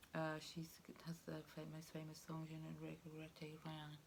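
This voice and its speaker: A soft-spoken woman at a moderate pace, with audible room echo. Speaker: tarot reader. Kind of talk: tarot reading monologue. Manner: halting, many fillers.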